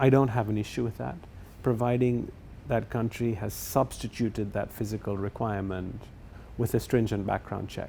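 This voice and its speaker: A man's medium-pitched voice comes across somewhat breathy, with a dark, mellow tone and fairly even intonation. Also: moderate pace. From England. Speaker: property developer. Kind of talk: interview.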